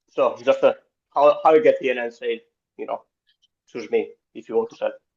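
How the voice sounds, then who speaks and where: This man talks at a fairly quick pace. His loudness swings in big jumps. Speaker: new real estate agent. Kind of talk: question in coaching call. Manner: halting.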